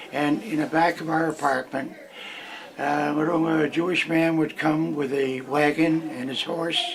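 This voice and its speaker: A man with a fairly high pitch talks at a moderate pace. Noticeable background noise runs underneath. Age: 90s. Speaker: elderly interviewee. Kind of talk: oral history interview. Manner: halting, repeats words.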